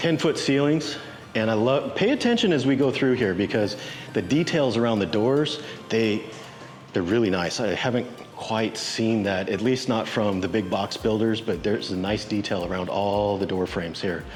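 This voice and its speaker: A man speaks at a moderate pace and medium pitch with ordinary pitch variation and very even loudness, with audible room echo and music playing in the background. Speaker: real estate agent. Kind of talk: property tour walkthrough. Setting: walking through a house at an open house. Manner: animated.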